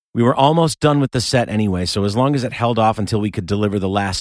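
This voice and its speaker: With an American accent, a man talks at a very fast pace with lively intonation. The recording is very clean with a silent background, and the sound is dry and close with no echo. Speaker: musician and podcast narrator. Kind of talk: scripted narration.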